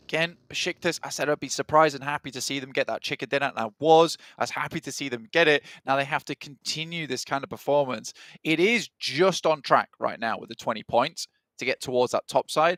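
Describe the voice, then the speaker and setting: A plain, everyday voice from a man at a fairly quick pace, with ordinary pitch variation, big swings in loudness, and a dry, close sound with no echo. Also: fairly high pitch for a man. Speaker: esports caster. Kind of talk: live commentary.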